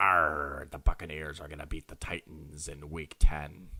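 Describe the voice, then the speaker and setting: Putting on a character voice, a man speaks very deep and low with a raspy edge. His intonation stays monotone and flat at a moderate pace. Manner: jokey, playful.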